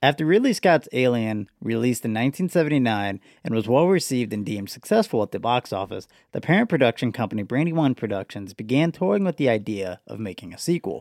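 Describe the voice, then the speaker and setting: A man talking at a very fast pace with very wide pitch swings, dry, close sound with no echo, very clean recording and silent background. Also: medium pitch for a man. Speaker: podcast host. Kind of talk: casual banter, movie discussion. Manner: joking, profane, casual.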